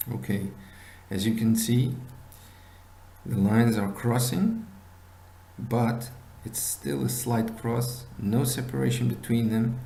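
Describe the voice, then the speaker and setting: Speaking at a very slow pace with long, frequent pauses, a man uses ordinary pitch variation amid audible room echo. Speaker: binary options trading instructor. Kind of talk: tutorial. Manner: halting.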